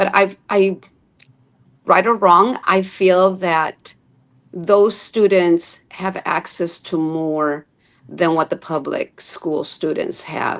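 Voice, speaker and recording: At a very slow pace, a woman with a Spanish accent speaks at a medium pitch with fairly even intonation. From Chicago, US Midwest. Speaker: teacher. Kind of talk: interview. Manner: conversational.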